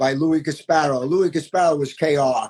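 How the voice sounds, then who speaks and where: This man has a New York accent. His fairly high voice shows ordinary pitch variation. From New York, Queens. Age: 50s. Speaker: graffiti artist. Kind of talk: interview.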